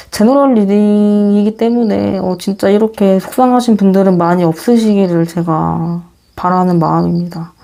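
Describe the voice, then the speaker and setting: A woman speaks at a fairly slow pace in a medium pitch, her tone dark and mellow, with ordinary pitch variation. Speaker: tarot reader. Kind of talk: closing greeting to viewers; tarot reading to camera. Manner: slight stutter.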